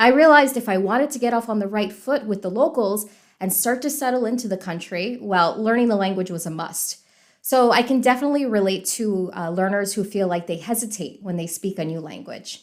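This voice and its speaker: A woman with an American accent speaks at medium pitch with lively intonation, in an ordinary speaking voice. The recording is very clean, with a silent background. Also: fairly quick pace. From US South, Miami, Florida. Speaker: podcast host, English teacher. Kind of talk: podcast introduction, casual chat.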